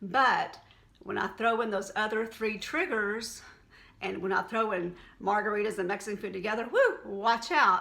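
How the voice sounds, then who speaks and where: Fairly high-pitched woman's voice in a Texan accent, the intonation fairly even. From Texas. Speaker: health and wellness vlogger. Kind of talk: casual vlog talk to camera. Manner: conversational, unscripted.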